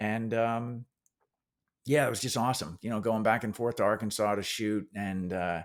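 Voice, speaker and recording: In a New Jersey accent, a man with a fairly low pitch talks at a moderate pace and a fairly even intonation on a very clean recording with a silent background. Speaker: actor. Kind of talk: interview.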